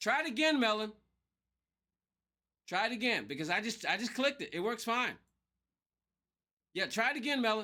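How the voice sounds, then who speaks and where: A man projects a raised voice at an extremely high pitch, with a bright, sharp tone and lively intonation. He leaves long, frequent pauses. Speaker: gaming livestreamer. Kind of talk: casual live gameplay stream chat.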